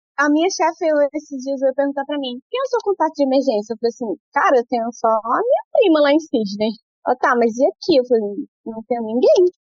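Over background music, a woman talks at a fairly quick pace in a high pitch with lively intonation. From Brasília, Brazil. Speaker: early childhood educator. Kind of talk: interview.

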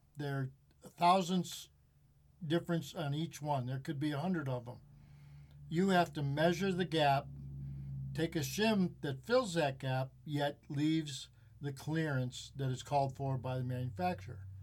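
A man speaks with an American accent at a fairly high pitch and a fairly slow pace. His voice is somewhat breathy, with long, frequent pauses. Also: ordinary pitch variation. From US Midwest, Chicago suburbs. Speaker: auto mechanic. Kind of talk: casual chat. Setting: studio.

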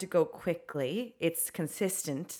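A woman's voice with lively intonation, on a very clean recording with a silent background. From Italian-American. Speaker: co-host and producer. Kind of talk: casual chat. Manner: loud.

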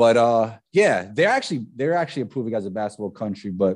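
A man speaks at a very fast pace with a fairly low pitch and a New York accent, against a quiet background. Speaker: former professional basketball player. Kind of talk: casual chat.

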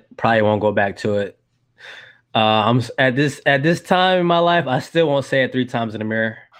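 A man talks at a fairly quick pace with an American accent and lively intonation. It is a normal speaking voice. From US South, Georgia. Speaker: film podcaster. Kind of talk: casual chat.

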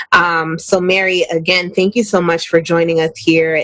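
The tone is upbeat and animated at a moderate pace. Noticeable background noise runs underneath. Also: woman. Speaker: radio host. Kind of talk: radio dj patter. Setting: radio studio, live. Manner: upbeat, animated.

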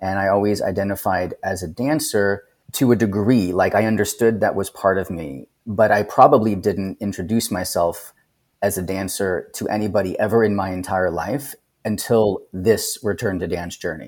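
A man with an unremarkable speaking voice talks at a moderate pace with a fairly low pitch and ordinary pitch variation. The recording is very clean, with a silent background. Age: 40s. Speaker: former professional dancer and actor. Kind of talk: casual chat.

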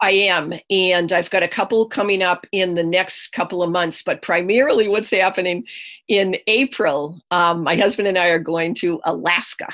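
In an American accent, a woman talks at a moderate pace and medium pitch with ordinary pitch variation over a quiet background. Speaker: energy healer and author. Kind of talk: interview.

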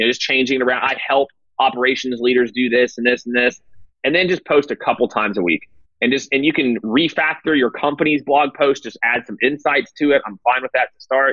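A man's medium-pitched, ordinary speaking voice at a fairly quick pace, with ordinary pitch variation. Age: 30s. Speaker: sales executive and CEO. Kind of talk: interview.

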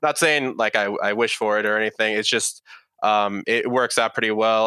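A man with an American accent talks at a moderate pace and fairly low pitch, his tone bright and sharp. His delivery is a flat monotone, recorded dry and close with no echo. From California, San Jose. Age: 20s. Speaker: podcast guest in recovery. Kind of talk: casual interview chat.

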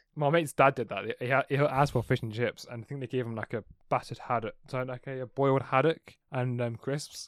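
A man with an English accent speaks at a fairly quick pace with hardly any pauses, his medium-pitched voice fairly even in intonation, in a dry, close, echo-free recording that is very clean with a silent background. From England. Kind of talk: casual chat.

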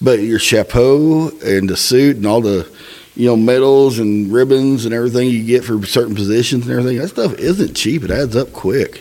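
A man talks at a moderate pace with a medium pitch and ordinary pitch variation. Noticeable background noise sits behind him. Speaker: podcast host, Freemason. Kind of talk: casual chat.

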